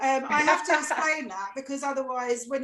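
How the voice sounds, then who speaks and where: With an Essex accent, a woman talks at a fairly quick pace in a high pitch. Noticeable background noise is heard. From Essex, England. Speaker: comedian. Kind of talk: stand-up. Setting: video call.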